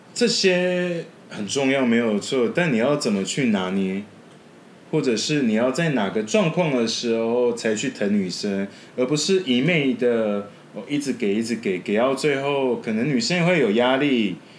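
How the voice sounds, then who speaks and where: A man in a normal speaking voice speaks at a fairly slow pace, with medium pitch and lively intonation. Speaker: podcast editor. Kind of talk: casual chat.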